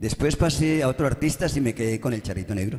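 A man with a Valle del Cauca accent, medium pitch, a slightly mellow tone and lively intonation at a fast pace. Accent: Colombian, from the Valle del Cauca.

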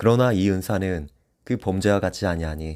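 Speech comes at a moderate pace. The recording is very clean, with a silent background. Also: man. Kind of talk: scripture reading.

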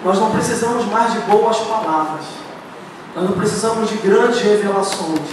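This man's voice is high-pitched, with fairly even intonation. Strong room echo and light background noise fill the recording. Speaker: preacher. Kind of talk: sermon. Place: church.

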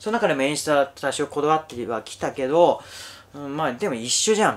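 A man speaks at a fairly high pitch and a very fast pace. His intonation is lively. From rural Japan. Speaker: YouTuber, former magician. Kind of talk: casual monologue. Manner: many fillers, conversational. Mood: reflective, self-deprecating. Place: home room.

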